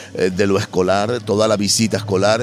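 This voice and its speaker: A man with a fairly low voice speaks at a moderate pace in a flat monotone over noticeable background noise. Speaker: festival director and university lecturer. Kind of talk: interview. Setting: on location at a festival.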